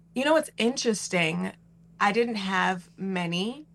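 A somewhat breathy woman's voice with lively intonation and an American accent. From New York City (Queens). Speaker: Broadway actress. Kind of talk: interview.

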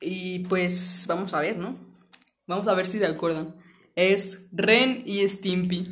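Speaking very slowly with a Mexican accent, a woman keeps a medium pitch and fairly even intonation. Audible room echo surrounds her voice. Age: 20s. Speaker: podcast host. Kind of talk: casual chat.

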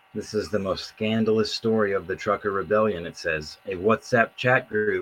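Over noticeable background noise, a man speaks in a fairly low pitch. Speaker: podcast co-host / commentator. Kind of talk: casual chat. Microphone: bad audio, sounds underwater.

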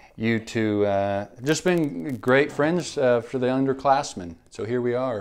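Using an ordinary speaking voice, a man with an American accent speaks at medium pitch and a fairly slow pace, with ordinary pitch variation and hardly any pauses. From Oklahoma, Enid. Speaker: barista and small business owner. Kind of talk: casual chat.

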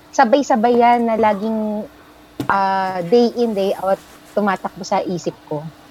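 A woman speaks slowly in a normal speaking voice, her fairly high pitch rising and falling in an ordinary way. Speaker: country manager, guest curating a playlist. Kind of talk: casual chat. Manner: playful, lots of laughter.

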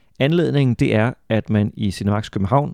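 A man talks in a dark, mellow tone with ordinary pitch variation. The recording is very clean, with a silent background. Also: dry, close sound with no echo. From Denmark, Funen. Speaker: podcast host, author and translator. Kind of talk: casual chat; scripted intro.

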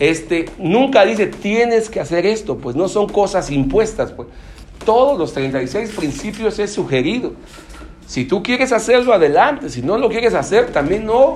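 A man with a Mexican accent speaks in a high, animated voice with very wide pitch swings. His pace is fairly slow, and there is noticeable background noise. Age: 30s. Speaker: recovering alcoholic speaker at AA meeting. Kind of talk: testimony talk at support group meeting. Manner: casual, slang-heavy, animated.

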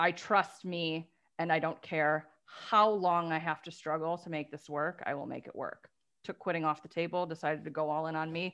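A woman's fairly low voice in a Midwestern American accent, monotone and flat, at a moderate pace, with big swings in loudness over a quiet background. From Detroit area, Michigan. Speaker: life coach for lawyers. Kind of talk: casual interview.

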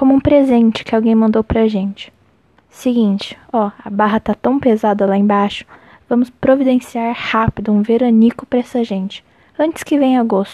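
This is an unremarkable speaking voice from a woman with fairly high pitch and fairly even intonation. She keeps a moderate pace, and the sound is dry and close with no echo. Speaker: podcast host reading a chronicle aloud. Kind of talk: literary audiobook reading, a written chronicle read aloud in a measured, expressive way. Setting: late-night home recording, solo. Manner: intimate, earnest, heartfelt tone.

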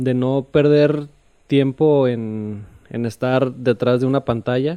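A soft-spoken man talks at a very slow pace in a dark, mellow tone. His pitch is medium, and his intonation stays fairly even. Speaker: podcast guest. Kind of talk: casual chat.

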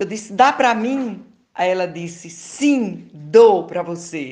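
Audible room echo surrounds a voice with lively intonation at a fairly slow pace. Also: woman. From Paraíba, Brazil. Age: 70s. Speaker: singer and psychoanalyst. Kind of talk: interview.

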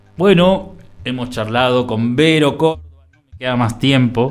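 A man talks at a moderate pace with a medium pitch while music plays in the background. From Buenos Aires, Argentina. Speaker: radio host. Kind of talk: community radio interview. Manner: halting.

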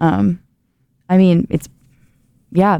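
A woman's fairly low voice, dark and mellow in tone, with a dry, close sound and no echo. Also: very clean recording, silent background. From Ohio. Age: 20s. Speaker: university student, social media organizer. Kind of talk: casual podcast discussion.

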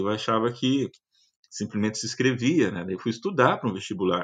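Here a man talks at a fairly quick pace. The background is quiet. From Paraná, Brazil (Curitiba metropolitan region). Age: 50s. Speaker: university professor and agronomist. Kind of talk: interview testimony. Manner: halting, many fillers.

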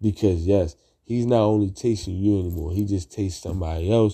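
A somewhat breathy man with a dark, mellow tone and a fairly low pitch, fairly quick pace and fairly even intonation, in a very clean recording with a silent background. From Baltimore, east side. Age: 30s. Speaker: podcaster. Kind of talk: casual monologue.

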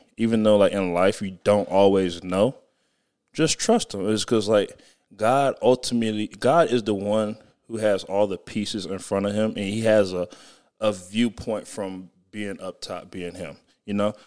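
With an American accent, a normal speaking voice moves at a moderate pace with fairly even intonation over a very clean recording and a silent background. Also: man, fairly low pitch for a man. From Southern California. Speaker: podcast co-host. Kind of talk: casual chat.

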